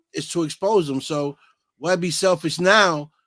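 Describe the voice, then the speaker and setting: A man with a Boston accent is heard in a very clean recording with a silent background. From Massachusetts, US. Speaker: online talk show host. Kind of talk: casual chat.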